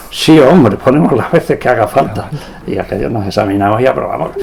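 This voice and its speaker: Over noticeable background noise, a man with an Extremaduran accent talks at a fairly quick pace with lively intonation. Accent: Extremaduran Spanish (Badajoz). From Spain, Badajoz (Extremadura). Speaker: veteran radio amateur, engineer. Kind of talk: interview, anecdotal storytelling. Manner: animated.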